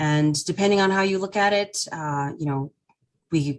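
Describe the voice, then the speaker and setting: With an American accent, the delivery keeps a fairly even intonation. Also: woman. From North Dakota, US. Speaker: nonprofit CEO. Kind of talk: presentation. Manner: hesitant, many fillers.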